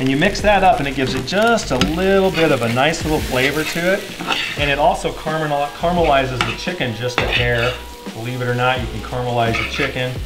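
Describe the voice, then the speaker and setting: Very fast speech over loud background noise. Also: man. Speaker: home cook host. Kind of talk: tutorial. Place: kitchen. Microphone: camera far.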